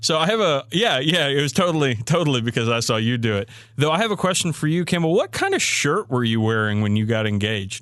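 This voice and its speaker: A man with a slight Southern US accent talks very fast at a fairly high pitch, with hardly any pauses. His pitch swings very widely while his loudness stays very even. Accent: slight Southern twang. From Maryland, US. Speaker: podcast co-host. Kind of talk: casual chat.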